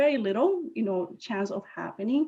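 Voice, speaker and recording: A woman's voice with a Spanish accent, lively intonation and a moderate pace. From Puerto Rico. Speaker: scientist and inventor. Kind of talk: presentation. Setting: video call.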